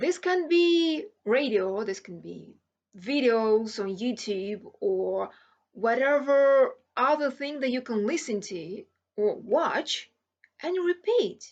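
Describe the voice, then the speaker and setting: A woman with a non-native accent speaks at a high pitch, with very wide pitch swings, big swings in loudness and long, frequent pauses. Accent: non-native English accent, audible. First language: not English. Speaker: language learning vlogger. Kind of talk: tutorial. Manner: hesitant with fillers.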